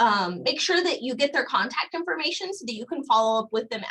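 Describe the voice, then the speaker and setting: A woman's high, bright, sharp voice, raised and projected, racing along very fast with very wide pitch swings. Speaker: career services staff presenter. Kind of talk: live webinar presentation. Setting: video call.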